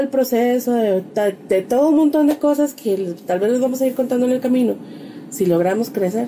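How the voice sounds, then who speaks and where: High-pitched woman's voice over noticeable background noise. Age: 30s. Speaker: podcast co-host. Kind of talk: casual chat.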